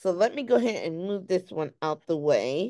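A woman's voice with very wide pitch swings, set against a quiet background. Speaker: craft teacher. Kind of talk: tutorial. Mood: light, playful. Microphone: phone near.

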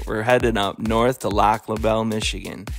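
A man's voice over music in the background. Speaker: travel vlogger. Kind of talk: voice-over travel narration.

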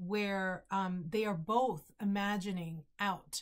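In a quiet background, a woman talks with fairly even intonation. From Bronx, New York. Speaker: novelist. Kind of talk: author introducing her book to camera. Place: home room. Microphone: webcam.

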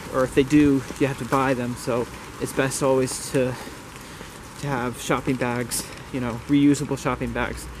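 A man with an American accent speaks in a flat monotone at a moderate pace, pausing long and often. The sound is dry with no echo, but background noise is noticeable. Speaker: lifestyle vlogger. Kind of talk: casual vlog narration. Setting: outdoors. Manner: casual, rambling. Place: street. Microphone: phone near.

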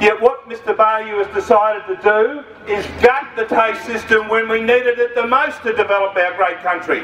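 A loud man with an Australian accent and a high pitch talks at a moderate pace with hardly any pauses and fairly even intonation. Audible room echo and light background noise surround him. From Australia (Victoria). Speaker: trade union official. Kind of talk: fiery protest-rally speech rousing a crowd against state education cuts. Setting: outdoor rally with crowd. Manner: combative, punchy rhetoric with taunting asides; loud, emphatic, repeating lines for crowd effect. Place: street.

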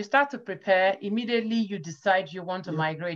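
A woman with a Nigerian accent over a quiet background. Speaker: data scientist. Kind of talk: interview. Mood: friendly, earnest advice. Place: home room. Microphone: video call.

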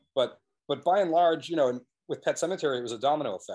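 Against a quiet background, a man with an American accent talks very fast with lively intonation. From New England, US. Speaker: documentary filmmaker; guest. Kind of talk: casual interview. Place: home room. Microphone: video call.

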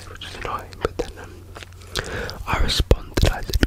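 Loud background noise behind a man's dry, echo-free voice. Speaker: ASMR creator. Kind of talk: casual ASMR chat. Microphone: studio mic.

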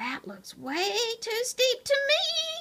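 Putting on a character voice, a woman squeaks at an extremely high pitch. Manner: nervous, doubtful.

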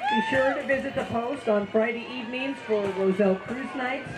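Clear music plays in the background. Over it, a woman speaks at a moderate pace. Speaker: parade announcer. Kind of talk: event announcing commentary. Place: street.

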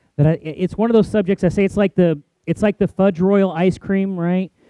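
Dry, echo-free sound of a man's voice over a quiet background. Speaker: pastor. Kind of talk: sermon. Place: church. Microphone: headset.

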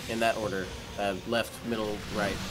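A man's voice comes through audible room echo. Noticeable background noise is also present. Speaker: gaming video creator. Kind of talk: let's play commentary. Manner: casual, animated.

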